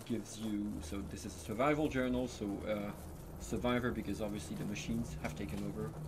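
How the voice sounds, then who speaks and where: A man speaks with a French accent and ordinary pitch variation. Room echo is audible. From France. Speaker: narrative designer. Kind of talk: live gameplay stream commentary.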